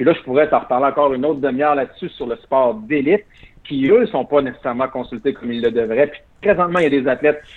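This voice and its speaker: At a very fast pace, a man with a fairly high pitch talks with ordinary pitch variation. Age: 40s. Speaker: former Olympic athlete. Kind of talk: interview.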